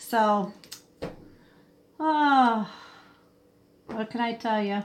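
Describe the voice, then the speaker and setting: A woman's fairly high voice, a plain, everyday voice, with ordinary pitch variation. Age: 60s. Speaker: livestream host. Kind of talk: casual chat. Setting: live stream.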